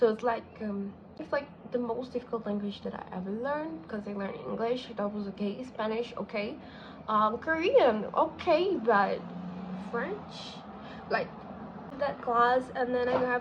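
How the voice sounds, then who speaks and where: In a Brazilian accent, a woman speaks at a high pitch with ordinary pitch variation. Her pace is moderate. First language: Portuguese. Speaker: vlogger, content creator on study and organization. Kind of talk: casual vlog talk to camera. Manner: casual, hesitant with fillers.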